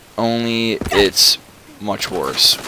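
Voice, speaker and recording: A man speaks at a medium pitch with fairly even intonation amid noticeable background noise. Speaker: gaming commentator. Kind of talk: casual gameplay commentary. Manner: fast.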